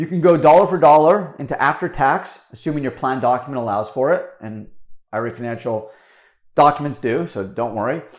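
Enthusiastic in tone, a man with a fairly high pitch speaks at a moderate pace, with lively intonation and big swings in loudness. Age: 40s. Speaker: podcast host, tax attorney. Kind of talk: solo explainer monologue. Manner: casual, enthusiastic.

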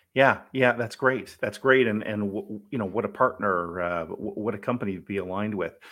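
A man with an ordinary speaking voice, fairly low in pitch, at a moderate pace with ordinary pitch variation. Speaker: podcast host. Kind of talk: interview.

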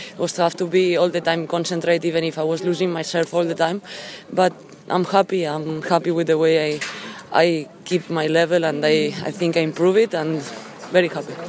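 Against noticeable background noise, a woman with a Spanish accent speaks at a fairly quick pace, fairly low in pitch and monotone, flat in intonation. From Spain. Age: 20s. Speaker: professional tennis player. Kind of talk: post-match interview.

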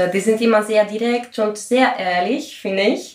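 Speaking at a fairly slow pace, a woman uses a medium pitch and fairly even intonation against noticeable background noise. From Greece. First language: Greek (speaking German). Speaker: composer and podcast host. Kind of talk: interview.

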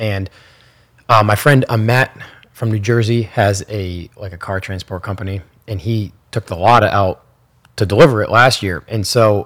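A man uses a plain, everyday voice with a fairly low pitch and ordinary pitch variation. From New Hampshire, US. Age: 30s. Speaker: car enthusiast and laser engraver. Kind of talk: casual podcast interview. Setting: in person, in Ocean City.

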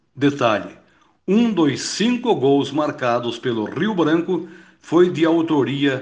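A man talks at a very slow pace with lively intonation. Audible room echo surrounds his voice. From Paraná, Brazil (Palmeira). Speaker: radio football narrator. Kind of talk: recorded storytelling segment.

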